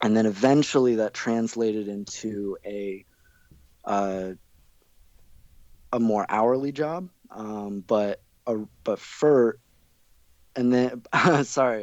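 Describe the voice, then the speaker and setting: A man mumbles in a put-on character voice at medium pitch. He speaks at a fairly slow pace, with long, frequent pauses. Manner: mumbling.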